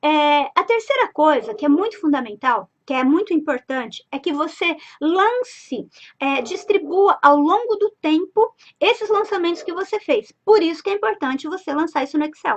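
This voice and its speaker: A woman speaks in an animated tone at an extremely high pitch. Her pitch swings very widely. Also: moderate pace. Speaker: business finance consultant. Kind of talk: live stream lesson.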